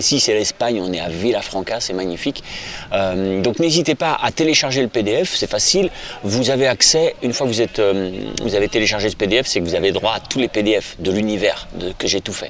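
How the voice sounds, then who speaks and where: With lively intonation and a fairly low pitch, a man talks against noticeable background noise. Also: fairly quick pace. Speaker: guitar teacher. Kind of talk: tutorial. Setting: outdoors in Spain. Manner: casual, hesitant.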